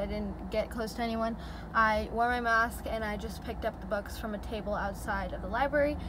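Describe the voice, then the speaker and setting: A woman speaks fairly quickly, with noticeable background noise behind her. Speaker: book vlogger. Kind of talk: casual vlog chat. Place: car. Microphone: phone near.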